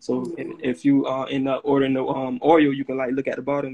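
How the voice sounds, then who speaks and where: Delivering his words fairly quickly, a man with an American accent keeps a flat, monotone intonation. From Florida, St. Petersburg. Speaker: natural skincare business owner. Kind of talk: casual interview. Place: home room. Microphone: phone near.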